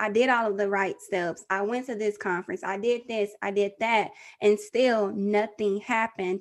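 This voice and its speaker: Someone with an American accent speaks at a moderate pace in an animated tone against a quiet background. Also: woman, medium pitch for a woman. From Texas. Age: 30s. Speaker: podcaster and mother. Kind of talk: interview testimony.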